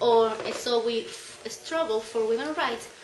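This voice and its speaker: With a Spanish accent, a woman speaks at a high pitch with ordinary pitch variation, amid audible room echo and noticeable background noise. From Chile. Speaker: activist speaker. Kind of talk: conference talk. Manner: halting.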